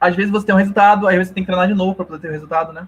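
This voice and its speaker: A man's voice, high in pitch. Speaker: tech presenter. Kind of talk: technical talk / live coding presentation. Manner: fast; hesitant, repeats words.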